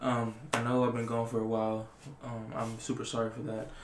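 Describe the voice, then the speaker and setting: A man speaks at a moderate pace with monotone, flat intonation. There is audible room echo and light background noise. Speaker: ASMR creator. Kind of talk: casual vlog chat, reading facts aloud. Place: home room. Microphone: webcam.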